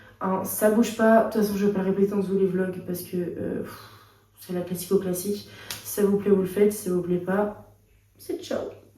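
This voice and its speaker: A woman speaks at a medium pitch. Room echo is audible. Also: moderate pace. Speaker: vlogger. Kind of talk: casual vlog chat. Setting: hospital. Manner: animated; chatty.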